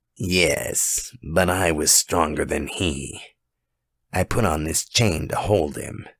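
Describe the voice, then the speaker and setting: A man puts on a raspy character voice at a very deep, low pitch, with ordinary pitch variation and a very slow pace. The recording is very clean, with a silent background. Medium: read story. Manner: calm, quiet, courteous.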